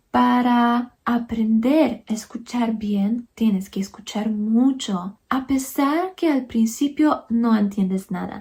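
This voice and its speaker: A woman's very slow, dark and mellow voice, fairly high in pitch, in a Polish accent, with hardly any pauses. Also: ordinary pitch variation. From Poland. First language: Polish (speaking Spanish). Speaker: YouTuber, language learner. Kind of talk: casual personal account to camera.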